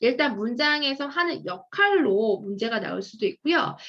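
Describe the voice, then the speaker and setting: A woman speaks at a moderate pace with a fairly high pitch. Her tone is bright and sharp, and her pitch swings very widely. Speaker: English grammar lecturer. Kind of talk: lecture.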